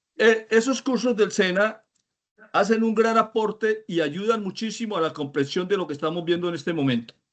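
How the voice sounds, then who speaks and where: The man talks at a high pitch. It varies in an ordinary way. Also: moderate pace. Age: 60s. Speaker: course student, veteran car mechanic. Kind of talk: comment in an online class. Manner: hesitant, many fillers.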